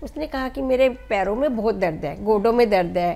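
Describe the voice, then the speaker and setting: Here a woman speaks at a moderate pace. Her voice is fairly high, with a dark, mellow tone. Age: 60s. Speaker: NGO founder. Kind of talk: interview.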